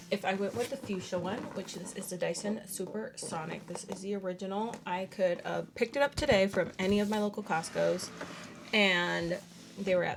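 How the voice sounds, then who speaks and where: Speaking at a moderate pace, a woman has a medium pitch and vocal fry. Her intonation stays fairly even. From Dominican Republic. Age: 20s. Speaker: beauty YouTuber. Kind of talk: casual product review to camera.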